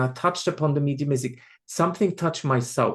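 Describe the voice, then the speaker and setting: A man with a Swiss accent speaks at a fairly high pitch, his pitch moving in an ordinary way over a quiet background. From Switzerland. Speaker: spiritual medium. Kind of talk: podcast interview. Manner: repeats words, halting starts.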